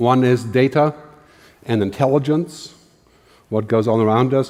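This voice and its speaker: A man speaks with a German accent at a moderate pace. His pitch varies in an ordinary way. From Germany. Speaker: futurist, keynote speaker. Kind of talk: keynote talk.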